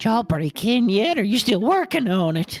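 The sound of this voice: A put-on character voice at a fairly high pitch and moderate pace, with music in the background.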